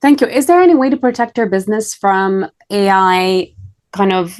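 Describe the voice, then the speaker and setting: A woman with a non-native accent talks at a moderate pace in a medium pitch. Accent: foreign. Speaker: podcast host. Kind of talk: interview. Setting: podcast.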